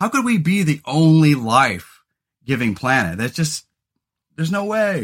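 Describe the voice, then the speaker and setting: Loud and at a fairly slow pace, a man speaks with very wide pitch swings and long, frequent pauses. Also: fairly high pitch for a man. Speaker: podcast host and comedian. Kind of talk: casual chat.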